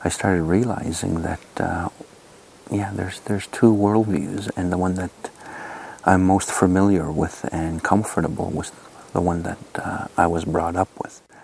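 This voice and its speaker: A man with an Albertan accent speaks at a moderate pace in a very deep, low voice with fairly even intonation, over noticeable background noise. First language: Blackfoot. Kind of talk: interview testimony.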